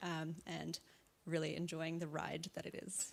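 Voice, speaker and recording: A woman with an Australian accent speaks at a moderate pace in a fairly low voice with vocal fry. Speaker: startup co-founder. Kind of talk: panel introduction.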